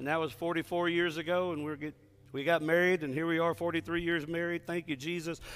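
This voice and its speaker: A man with a Texan accent talks at a moderate pace and a high pitch on a very clean recording with a silent background. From Texas. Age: 60s. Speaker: pastor. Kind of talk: sermon. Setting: church with congregation. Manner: animated.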